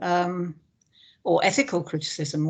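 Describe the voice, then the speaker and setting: Against a quiet background, a woman speaks at a moderate pace in a somewhat breathy, fairly low voice with fairly even intonation. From England. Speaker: author and creative writing tutor. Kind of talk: interview. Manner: hesitant, repeats words.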